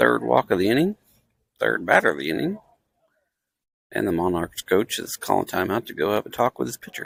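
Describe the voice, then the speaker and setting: A soft-spoken man talks at a fairly quick pace, yet with long, frequent pauses. The sound is dry and close, with no echo. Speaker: amateur livestream commentator. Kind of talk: live commentary. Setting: in the stands at a baseball game. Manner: quiet, soft-spoken.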